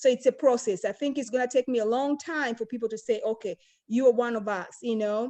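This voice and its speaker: A high-pitched woman with an African accent, a dark, mellow tone and fairly even intonation, against a quiet background. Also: fairly quick pace. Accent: African accent, still noticeable. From Tanzania. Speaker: panel guest. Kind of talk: round-table discussion. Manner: hesitant, many fillers.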